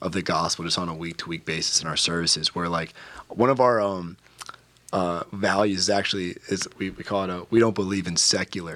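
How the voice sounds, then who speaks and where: Fairly quick speech with fairly even intonation comes in an American accent. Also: man, very deep, low pitch for a man. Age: 20s. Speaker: young adult pastor. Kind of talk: interview. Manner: casual with fillers and repetitions.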